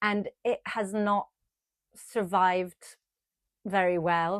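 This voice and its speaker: A woman with an Italian accent speaks at medium pitch in a dry, close sound with no echo. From Italy, Tuscany (near Florence). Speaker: sewing and knitting vlogger. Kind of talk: casual chat to camera.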